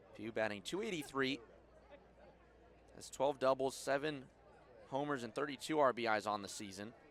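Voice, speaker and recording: At a moderate pace, a man speaks at medium pitch with ordinary pitch variation and long, frequent pauses. His loudness swings a lot, and crowd noise sounds in the background. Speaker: baseball play-by-play broadcaster. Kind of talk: baseball play-by-play broadcast.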